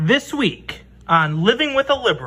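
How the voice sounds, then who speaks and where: Someone uses a put-on character voice at a moderate pace, the pitch swinging very widely. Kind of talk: TV show intro announcer. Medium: comedy sketch.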